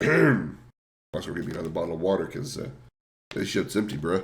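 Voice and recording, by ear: A put-on character voice from a man, raspy and very deep and low, at a fairly quick pace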